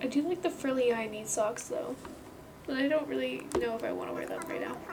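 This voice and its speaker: Soft-spoken and at a fairly quick pace, a woman talks amid noticeable background noise and audible room echo. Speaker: gaming video creator. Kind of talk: casual gameplay chat. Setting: home recording alone in room. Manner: quiet, soft-spoken.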